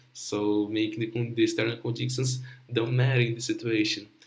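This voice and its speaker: Somewhat breathy and at a medium pitch, a man with a Portuguese accent speaks amid audible room echo. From Brazil, Rio de Janeiro. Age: young. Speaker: young researcher presenting project. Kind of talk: conference presentation. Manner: halting.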